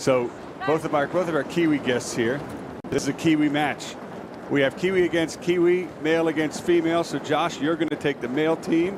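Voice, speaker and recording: Speaking at a fairly quick pace, a man with a fairly high pitch is heard against noticeable background noise. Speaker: sports broadcast host. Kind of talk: live sports commentary. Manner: animated, playful.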